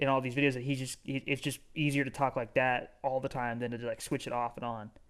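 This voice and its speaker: Very fast speech on a very clean recording with a silent background. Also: man. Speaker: podcast co-host. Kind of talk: casual chat. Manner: slurred, does not always enunciate.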